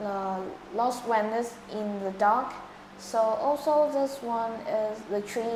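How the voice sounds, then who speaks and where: Noticeable background noise and audible room echo surround a woman's voice. She speaks very slowly at a fairly high pitch with ordinary pitch variation. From Vietnam. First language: Vietnamese. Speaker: English test candidate. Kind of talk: speaking exam interview. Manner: halting.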